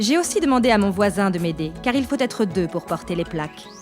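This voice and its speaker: Lively intonation over music in the background. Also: woman. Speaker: voice actor. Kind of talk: DIY tutorial narration.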